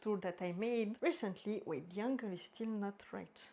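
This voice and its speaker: A woman with a French accent speaks at a moderate pace in a dark, mellow tone. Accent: French accent, drops H sounds. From French-speaking Switzerland. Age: 30s. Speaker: book vlogger. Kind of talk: casual vlog talk. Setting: filming at home in front of bookshelves. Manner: halting, self-correcting.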